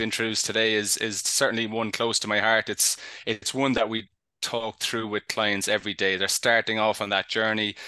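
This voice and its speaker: With a Cork accent, a man talks at a fairly quick pace in a bright, sharp tone, the sound dry and close with no echo. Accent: Cork Irish. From Ireland, Cork. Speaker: HR technology consultant. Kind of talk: panel discussion. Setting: live online show. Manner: halting.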